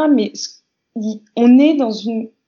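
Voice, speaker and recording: A woman with a high pitch, at a very slow pace, with ordinary pitch variation. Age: 30s. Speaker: dancer and multidisciplinary artist. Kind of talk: casual interview.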